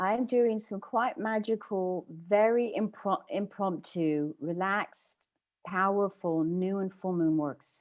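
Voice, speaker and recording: A woman with a British accent speaks very slowly at a medium pitch. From England. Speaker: spiritual workshop leader. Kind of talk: workshop Q&A chat.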